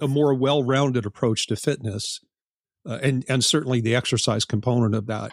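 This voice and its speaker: A man's medium-pitched voice with fairly even intonation, dry and close with no echo, on a very clean recording with a silent background. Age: 60s. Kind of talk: interview conversation. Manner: halting, many repeated words.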